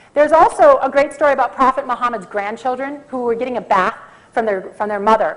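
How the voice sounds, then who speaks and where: A woman with an American accent and a high pitch speaks very fast with lively intonation. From US Midwest, Minnesota. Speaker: conference speaker on coffee. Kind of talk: conference talk.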